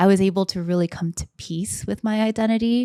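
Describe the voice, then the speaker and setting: A woman talks at a fairly quick pace in a plain, everyday voice with ordinary pitch variation, the sound dry and close with no echo. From US, Korean American family. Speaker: startup founder and product manager. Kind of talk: interview. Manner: conversational, frequent 'like' fillers.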